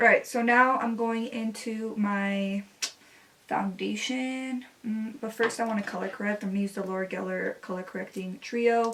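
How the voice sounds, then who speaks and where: A woman at a fairly high pitch, moderate pace and fairly even intonation, with noticeable background noise. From US West Coast, Los Angeles area. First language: Spanish. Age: 20s. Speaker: beauty vlogger. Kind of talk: makeup tutorial with casual chat. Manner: casual, filler-heavy.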